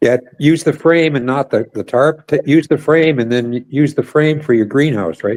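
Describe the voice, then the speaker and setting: Delivered in an ordinary speaking voice, the speech keeps a moderate pace with ordinary pitch variation and hardly any pauses. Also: man, fairly high pitch for a man. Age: 60s. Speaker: stream guest. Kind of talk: casual chat.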